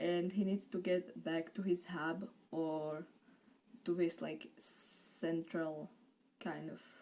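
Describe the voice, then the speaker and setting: A woman with a dark, mellow tone speaks at a very slow pace. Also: fairly low pitch for a woman, ordinary pitch variation. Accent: non-native. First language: not English. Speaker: booktuber. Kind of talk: casual vlog chat.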